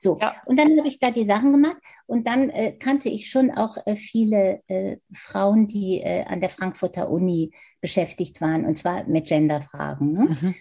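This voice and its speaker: A woman with a medium-pitched, somewhat breathy voice and a dark, mellow tone speaks at a moderate pace, her pitch swinging very widely. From Germany, Hannover. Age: 70s. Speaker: design professor. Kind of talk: interview.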